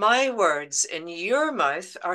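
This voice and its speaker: Here is a woman in a strong Belfast accent. Her pitch is fairly high and her tone bright and sharp. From Northern Ireland, Belfast. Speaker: poet. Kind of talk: poetry reading. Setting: video call.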